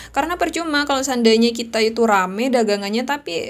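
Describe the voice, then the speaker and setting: Over music in the background, a woman speaks at a moderate pace in a fairly high pitch. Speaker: YouTuber, online seller. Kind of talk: podcast monologue, religious advice. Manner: loud; animated.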